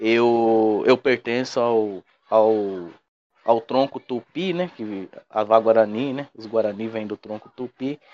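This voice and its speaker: A man speaks at a medium pitch with ordinary pitch variation. He goes at a very slow pace. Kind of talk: interview. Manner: halting, with repetitions.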